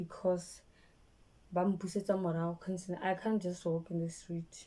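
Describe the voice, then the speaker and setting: A woman's fairly low, dark, mellow voice in monotone, flat intonation at a moderate pace. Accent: Botswana. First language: Setswana. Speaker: vlogger. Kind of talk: personal storytime vlog. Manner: halting, repeats words; speech affected by stroke.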